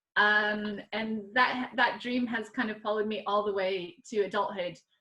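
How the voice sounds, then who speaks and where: Speaking with an American accent, a woman has a bright, sharp tone and a fairly high pitch. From US Midwest, Nebraska. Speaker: artist and art teacher. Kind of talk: panel talk over video call. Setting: video call from home. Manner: hesitant, many fillers.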